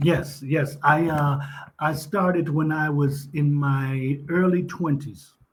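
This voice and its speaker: A man talks at a very slow pace in a fairly high pitch, with monotone, flat intonation, very even loudness and audible room echo. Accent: Texan. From Texas. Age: 50s. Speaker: retired police officer, online English tutor. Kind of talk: casual chat.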